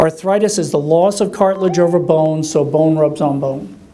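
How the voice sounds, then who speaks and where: Talking at a fairly quick pace, a man shows ordinary pitch variation over noticeable background noise. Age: 60s. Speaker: orthopedic surgeon. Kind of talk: lecture. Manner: conversational, with many fillers.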